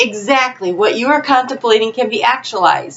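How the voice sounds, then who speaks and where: Over noticeable background noise, a woman speaks at a moderate pace. Her intonation is lively. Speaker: tarot reader. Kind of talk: tarot reading. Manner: loud.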